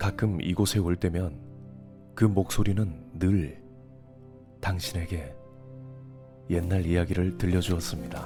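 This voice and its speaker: Over music in the background, a man speaks with a very deep, low pitch and a calm tone. His pace is very slow, with long, frequent pauses and ordinary pitch variation. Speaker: ASMR creator. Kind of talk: ASMR roleplay narration, healing story read. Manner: soft, calm, slow.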